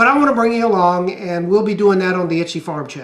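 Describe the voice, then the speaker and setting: With a Southern US accent, a man speaks at a high pitch with ordinary pitch variation. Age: 60s. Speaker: YouTuber and small farmer. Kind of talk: casual vlog talk. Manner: halting, many fillers.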